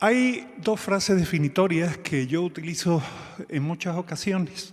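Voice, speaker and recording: Here a man talks at a fairly slow pace. His pitch is high, with ordinary variation. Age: 60s. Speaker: physician and telemedicine organization leader. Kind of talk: conference talk. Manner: halting, with fillers.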